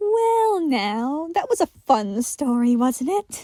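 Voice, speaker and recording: A woman uses a put-on character voice with a high pitch. She speaks very slowly, with very wide pitch swings. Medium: read story. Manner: playful, coy.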